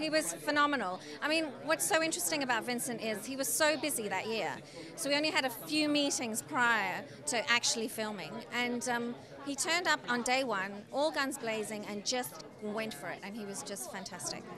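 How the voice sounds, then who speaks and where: A woman with a high pitch speaks in an enthusiastic tone with very wide pitch swings over noticeable background noise. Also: moderate pace. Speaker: film director. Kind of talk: interview. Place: hall. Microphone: handheld.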